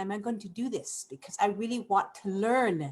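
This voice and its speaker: With an animated tone, a woman speaks in a somewhat breathy voice. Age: 60s. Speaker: program member. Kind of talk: testimony. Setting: live webinar.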